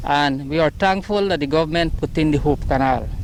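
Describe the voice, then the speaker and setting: The man keeps a moderate pace while noticeable background noise runs underneath. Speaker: farmer. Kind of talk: news interview.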